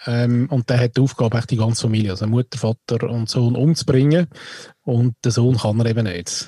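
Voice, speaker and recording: This man has a medium pitch and a dark, mellow, somewhat breathy tone, speaking at a fairly quick pace with fairly even intonation. The sound is dry and close, with no echo. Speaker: podcast co-host. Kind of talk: casual chat.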